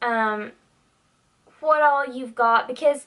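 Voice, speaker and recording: Ordinary pitch variation comes through in this voice with a Southern US accent. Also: woman. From US South, Tennessee. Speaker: beauty YouTuber. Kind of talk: casual vlog monologue. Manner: animated.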